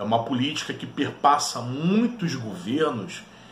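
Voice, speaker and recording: A man speaks at a very slow pace amid light background noise and audible room echo. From Brazil. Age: 30s. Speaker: history teacher and YouTuber; history teacher, YouTuber. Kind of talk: educational video monologue. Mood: earnest, persuasive. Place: home room. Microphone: webcam.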